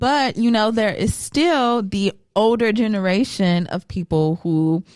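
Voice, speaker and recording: With an American accent and an unremarkable speaking voice, a woman talks at a fairly slow pace and a medium pitch, with lively intonation and very even loudness, sounding dry and close with no echo against a quiet background. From California. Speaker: podcast co-host. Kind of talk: casual chat.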